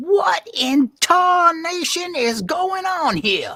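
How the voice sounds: In a put-on character voice, a man speaks slowly at an extremely high pitch, his bright, sharp tone making big pitch swings.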